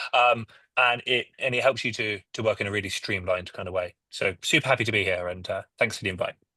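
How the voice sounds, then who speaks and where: Delivered at a very fast pace with a British accent, the voice has a bright, sharp tone and ordinary pitch variation, recorded dry and close with no echo against a quiet background. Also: man, medium pitch for a man. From UK. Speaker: software company head. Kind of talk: panel discussion.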